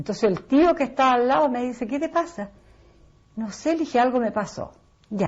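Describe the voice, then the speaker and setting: A woman with a Chilean accent speaks at a high pitch and a fairly quick pace. Her intonation is lively, broken by long, frequent pauses. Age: 60s. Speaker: interviewee. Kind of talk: personal testimony.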